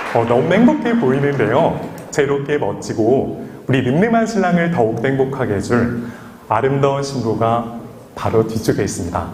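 Through noticeable background noise, a man at medium pitch talks at a moderate pace with lively intonation and very even loudness. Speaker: wedding MC. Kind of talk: wedding ceremony hosting. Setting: wedding hall PA system. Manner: calm, witty.

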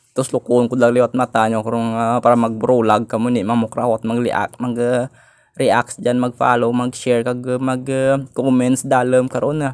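In a dry, close recording with no echo, a man speaks at a medium pitch and a moderate pace with monotone, flat intonation. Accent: Western Visayan. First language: Hiligaynon (speaking Tagalog). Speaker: vlogger. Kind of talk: casual vlog. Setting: outdoors and in malls.

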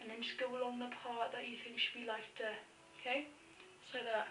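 Over noticeable background noise, a woman speaks in monotone, flat intonation. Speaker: makeup tutorial maker. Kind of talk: tutorial. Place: home room. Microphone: phone near.

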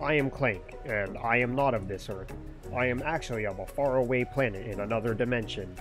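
Over loud music, a man does a put-on, robotic character voice at medium pitch and a fairly quick pace.

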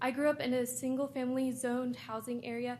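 With noticeable background noise behind her, a woman in an American accent speaks at a moderate pace. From Texas, Austin. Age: 20s. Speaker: university student. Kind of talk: public comment. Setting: public hearing.

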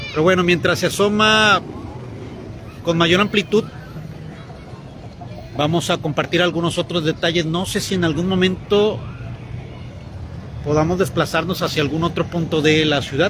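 A man's high-pitched voice with fairly even intonation at a moderate pace, long and frequent pauses, crowd noise behind him, and a dry sound with no echo. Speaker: local news reporter. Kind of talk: live on-location commentary. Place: waterside. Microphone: phone near.

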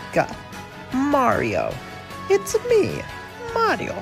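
A man performs a put-on character voice at an extremely high pitch over clear music in the background. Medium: role play. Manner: upbeat.

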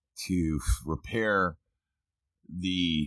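In a dry sound with no echo and a quiet background, a man speaks at a very deep, low pitch with ordinary pitch variation. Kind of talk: tutorial. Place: car. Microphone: phone near.

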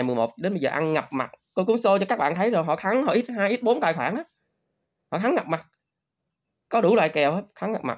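A man talking very fast with lively intonation against a quiet background. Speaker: crypto trading youtuber. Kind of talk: casual monologue to viewers. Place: home room. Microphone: phone near.

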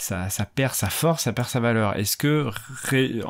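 The pace is fairly slow. Pitch shows ordinary variation. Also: man. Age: 40s. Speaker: PhD student podcaster in musicology. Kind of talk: casual solo monologue. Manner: halting, many fillers and repetitions.

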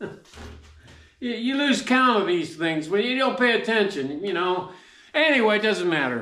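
With audible room echo, a man speaks in a raised, projected voice at a moderate pace, his loudness swinging widely. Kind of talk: casual vlog chat. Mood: jovial, laughing. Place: workshop. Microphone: camera far.

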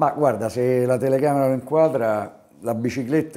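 The voice carries a Roman accent and a dark, mellow tone. It moves at a fairly quick pace with ordinary pitch variation. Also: man. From Rome, Italy; Italy. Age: 60s. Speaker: basketball coach. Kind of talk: interview. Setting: on camera. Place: office. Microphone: lapel.

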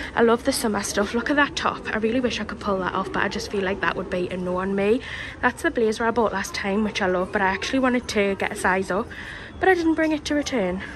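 Noticeable background noise runs under this recording. A woman speaks at a very fast pace. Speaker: shopping vlogger. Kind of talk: casual vlog chat. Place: shop.

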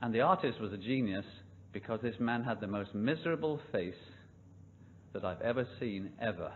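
A man with a British accent at a moderate pace, long pauses coming often, over light background noise. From United Kingdom. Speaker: preacher. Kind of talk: sermon. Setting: church.

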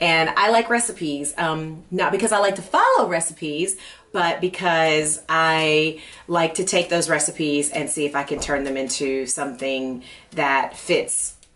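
Speaking fairly slowly, a woman uses a fairly low pitch with ordinary pitch variation. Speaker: cooking show host. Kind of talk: casual personal chat to camera. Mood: warm, relaxed. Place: studio.

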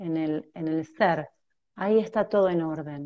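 The background is quiet. A woman talks fairly slowly, her pitch varying in an ordinary way. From Argentina, Mar del Plata; Argentina. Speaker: transpersonal therapist; guest. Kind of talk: conversational interview, explanatory. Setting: video call on mobile phone. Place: home room. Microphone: earbuds.

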